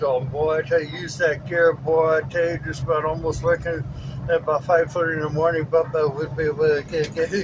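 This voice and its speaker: Noticeable background noise sits behind a man speaking at a fairly quick pace. His pitch is fairly high and his intonation is monotone and flat. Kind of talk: casual talk in a truck cab. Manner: stutters.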